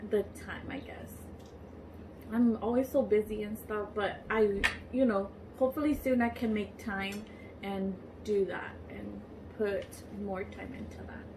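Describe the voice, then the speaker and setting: Over noticeable background noise, a woman with a fairly high voice speaks fairly slowly and evenly, with long, frequent pauses and big swings in loudness. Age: 20s. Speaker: YouTuber. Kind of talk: casual chat.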